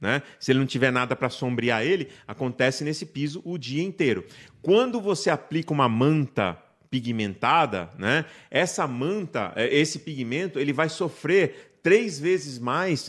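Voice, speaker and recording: A man's normal speaking voice, fairly high in pitch and fairly slow, with lively intonation in a very clean recording with a silent background. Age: 50s. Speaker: paint industry technician. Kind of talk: interview on live podcast.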